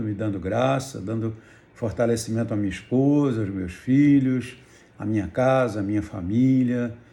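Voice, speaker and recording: A man at medium pitch speaks with a dark, mellow tone and ordinary pitch variation. His pace is moderate, and room echo is audible. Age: 70s. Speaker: pastor. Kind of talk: testimony.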